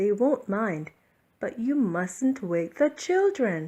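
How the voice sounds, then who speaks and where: Putting on a character voice, a woman speaks very slowly at a fairly high pitch, her pitch swinging very widely. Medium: read story.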